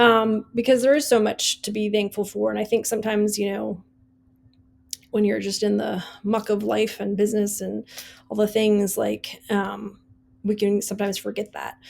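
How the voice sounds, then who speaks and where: In an American accent, the speaker keeps a moderate pace on a very clean recording with a silent background. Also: woman. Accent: Wisconsin accent, comes out at times. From US Midwest, Wisconsin. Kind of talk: casual podcast monologue. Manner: casual, many fillers.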